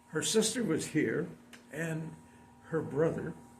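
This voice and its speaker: A man with an American accent speaks at a fairly high pitch, with audible room echo and noticeable background noise. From San Diego, California. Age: 90s. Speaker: community elder. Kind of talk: interview.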